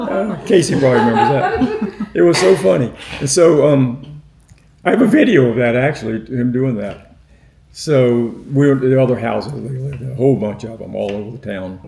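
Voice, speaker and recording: Amid noticeable background noise and audible room echo, a man talks at a fairly quick pace and medium pitch, with very wide pitch swings and big swings in loudness. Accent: American. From northeast Florida, Fernandina. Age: 80s+. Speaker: oral history interviewee. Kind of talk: oral history interview. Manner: halting, with many fillers.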